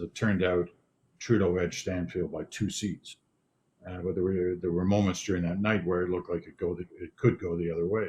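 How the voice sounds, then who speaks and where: A man speaks at a very deep, low pitch. His voice is somewhat breathy. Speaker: news anchor. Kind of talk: interview answer. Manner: calm.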